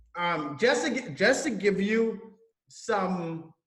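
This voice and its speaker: Room echo is audible as a man speaks at a very slow pace. His voice is high-pitched with lively intonation. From Trinidad and Tobago. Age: 30s. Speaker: online entrepreneur. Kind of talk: interview. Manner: casual, with fillers and restarts.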